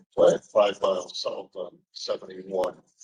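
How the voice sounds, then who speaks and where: With a Boston accent, a man speaks at a fairly slow pace. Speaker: company executive. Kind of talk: public testimony.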